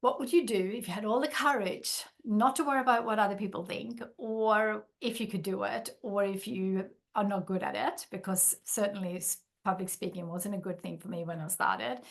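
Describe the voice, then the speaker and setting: Vocal fry runs through a woman's lively intonation as she speaks in a Swedish accent. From Sweden. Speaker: workshop facilitator and business founder. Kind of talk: workshop.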